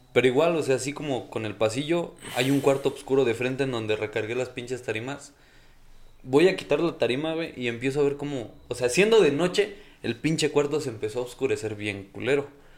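Medium in pitch, this man has a plain, everyday voice. He moves at a fairly quick pace and varies his pitch in an ordinary way. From Hidalgo, Mexico. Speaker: podcast guest telling ghost stories. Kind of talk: casual chat.

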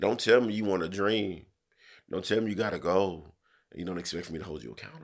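Very deep and low, a man's voice moves at a very fast pace in an animated tone, with ordinary pitch variation and big swings in loudness. The recording is very clean over a silent background. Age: 30s. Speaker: podcast host. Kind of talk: casual chat, opinionated discussion. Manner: animated, profane, emphatic.

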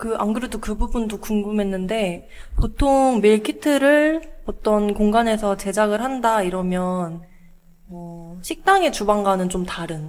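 A woman's fairly high, very slow delivery with lively intonation and big swings in loudness. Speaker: podcast co-host. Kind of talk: interview podcast conversation.

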